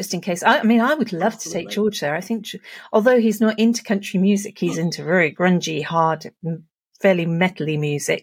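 A woman talks at a very fast pace, her voice somewhat breathy and medium in pitch with ordinary pitch variation. The recording is very clean, with a silent background. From Herefordshire, England. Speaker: podcast co-host. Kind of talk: casual chat.

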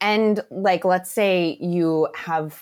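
In an American accent, a woman speaks on a very clean recording with a silent background. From Florida, Tampa Bay area. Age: 30s. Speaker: small business owner, chocolatier. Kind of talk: interview. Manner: animated.

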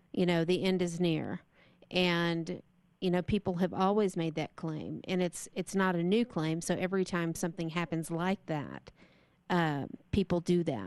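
A woman with an American accent speaks in an ordinary speaking voice at a moderate pace. Her pitch is fairly low, her intonation fairly even, and the background is quiet. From Texas. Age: 40s. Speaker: radio host. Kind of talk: interview.

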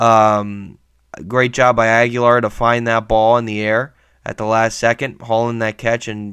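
With a quiet background, a man speaks at a moderate pace in a medium pitch and a monotone, flat intonation. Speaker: sports podcast host. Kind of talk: solo sports commentary podcast. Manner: hesitant, many fillers.

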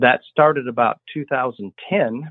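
A man talks in a plain, everyday voice. His medium pitch has ordinary pitch variation. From US Midwest, rural Illinois. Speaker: livestock breeder. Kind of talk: interview.

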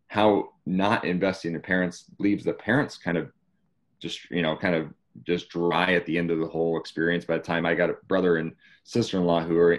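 A man's very deep, low voice with a Californian accent, fairly even intonation and a moderate pace, over a quiet background. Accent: General American (California). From Northern California. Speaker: former pro soccer player, youth training founder. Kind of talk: interview.

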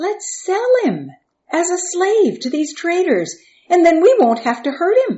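Slowish and put on, this woman's character voice sits at an extremely high pitch with a dark, mellow tone. Her pitch swings in big leaps.

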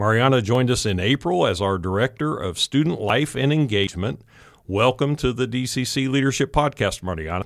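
An unremarkable speaking voice from a man at medium pitch, at a fairly quick pace. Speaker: podcast host, college advancement director. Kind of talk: scripted podcast intro and outro.

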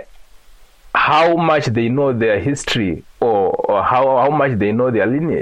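This man has a Zimbabwean accent. His pitch varies in an ordinary way. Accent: Zimbabwean (Shona) English. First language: Shona. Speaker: genealogy and culture blogger. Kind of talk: interview. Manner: halting.

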